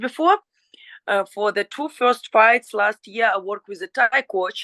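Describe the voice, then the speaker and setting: A woman with a Ukrainian accent, bright and sharp in tone, at a moderate pace with ordinary pitch variation, in a dry, close sound with no echo over a quiet background. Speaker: professional fighter. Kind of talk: interview. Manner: halting.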